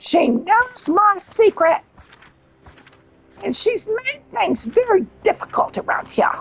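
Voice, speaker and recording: Putting on a character voice, a woman speaks at an extremely high pitch with very wide pitch swings, moving at a fairly slow pace with long, frequent pauses. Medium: game stream. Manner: cold, condescending.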